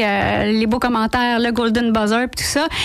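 A high-pitched woman at a moderate pace. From Quebec, Laval. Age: 40s. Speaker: impressionist and sound-effects comedian. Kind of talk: radio interview. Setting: radio studio.

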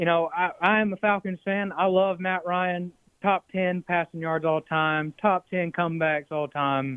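A man speaks at a fairly slow pace with an American accent. His voice is high-pitched and his intonation fairly even. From Atlanta, US South. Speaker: caller. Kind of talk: call-in sports chat. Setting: phone call.

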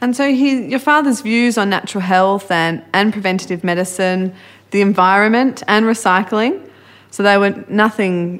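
In a very clean recording with a silent background, a woman speaks at a moderate pace with an Australian accent. Her pitch is medium, with ordinary variation. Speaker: podcast host. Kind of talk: interview.

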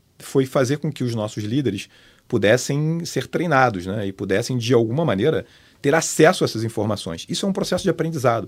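In an unremarkable speaking voice, a man talks at a fairly quick pace with lively intonation on a very clean recording with a silent background. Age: 50s. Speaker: media company director. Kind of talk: casual chat.

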